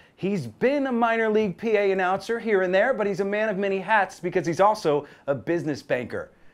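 Upbeat and energetic, a man with a high pitch talks at a fairly quick pace with hardly any pauses. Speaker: stadium host and emcee introducing the PA announcer auditions. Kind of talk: upbeat sports video host narration. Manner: upbeat, energetic. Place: booth.

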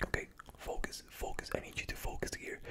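A man whispers in a gentle tone at a fairly quick pace. Light background noise can be heard. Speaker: ASMR creator. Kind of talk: soft ASMR roleplay talk. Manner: gentle whispered ASMR instruction. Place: home room. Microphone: studio mic.

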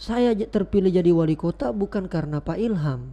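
A man with a high pitch and a dark, mellow tone talks at a moderate pace. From South Sulawesi, Indonesia (Bone); South Sulawesi, Indonesia. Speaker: podcast host. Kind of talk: interview. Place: studio. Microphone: studio mic.

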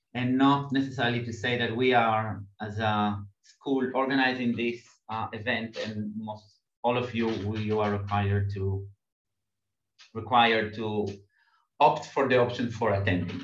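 The man speaks at a moderate pace with fairly even intonation and long, frequent pauses. The room adds audible echo. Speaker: seminar host. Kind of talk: seminar introduction. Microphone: video call.

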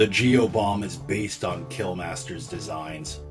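A man's put-on character voice at a fairly low pitch and a moderate pace, with clear music in the background. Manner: cold, curt.

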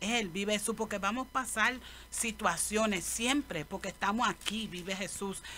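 Her tone bright and sharp, a woman speaks at a medium pitch with ordinary pitch variation.

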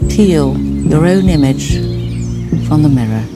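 A woman speaks over loud background music. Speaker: actress. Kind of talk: poetry reading. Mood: calm, tender. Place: garden.

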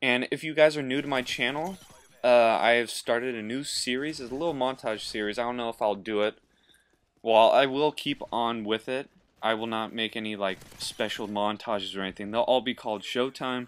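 An unremarkable speaking voice from a man at medium pitch, fairly quick, with ordinary pitch variation. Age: 20s. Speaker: gaming YouTuber. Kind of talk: gameplay commentary tutorial. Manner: casual, laughing.

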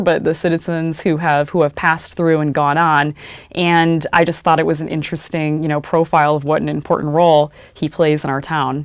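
Against a quiet background, a woman with a fairly low pitch talks at a fairly quick pace and uses ordinary pitch variation. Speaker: radio host, reporter. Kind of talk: interview answer. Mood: warm, reflective. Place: studio. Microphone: studio mic.

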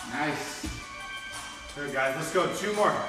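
A raised, projected voice comes at a moderate pace. Clear music plays in the background, and room echo is audible. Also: man. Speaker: fitness coach. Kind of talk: workout instruction. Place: gym. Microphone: camera far.

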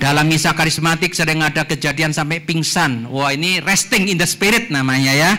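A man's normal speaking voice, fairly high in pitch with ordinary pitch variation, at a fairly quick pace and very even loudness. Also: hardly any pauses. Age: 60s. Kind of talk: lecture. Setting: church hall with audience. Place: hall. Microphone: handheld.

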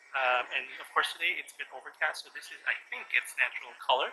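Noticeable background noise sits behind the recording. A man speaks at a fairly quick pace. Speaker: travel vlogger. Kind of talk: casual vlog chat. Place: street. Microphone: phone near.

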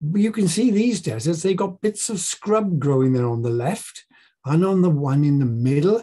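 A high-pitched man with a dark, mellow tone and lively intonation, at a moderate pace over a quiet background. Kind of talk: bible talk to a group. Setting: presentation with slides. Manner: informal, slightly halting. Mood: warm, playful teacher tone.

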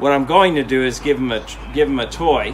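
A man's voice at a moderate pace, with ordinary pitch variation and light background noise. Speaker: dog trainer. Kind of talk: tutorial. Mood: calm, encouraging. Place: garden.

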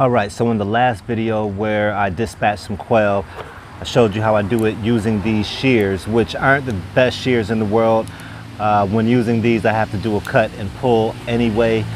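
Over light background noise, a man speaks at a moderate pace in a fairly low pitch with monotone, flat intonation. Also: dry sound with no echo. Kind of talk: tutorial. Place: garden. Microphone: lapel.

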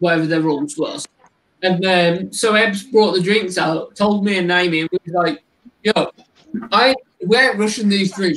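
A man speaks with a West Midlands accent. His pace is moderate. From West Midlands England. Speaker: tarantula keeper and content creator; content creator. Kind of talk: casual chat on a livestream. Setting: live stream. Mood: jokey, relaxed. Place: home room. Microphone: video call.

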